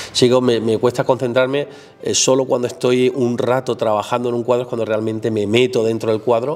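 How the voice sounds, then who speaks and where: A man's medium-pitched voice, monotone and flat, at a fairly quick pace over noticeable background noise. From southern Spain, Málaga province (Álora). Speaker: painter. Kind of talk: casual chat. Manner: halting.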